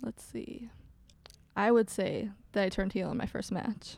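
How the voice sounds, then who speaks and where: Her voice is fairly high, somewhat breathy and dark and mellow in tone. The woman's intonation stays fairly even. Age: young. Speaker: professional wrestler. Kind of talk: casual interview.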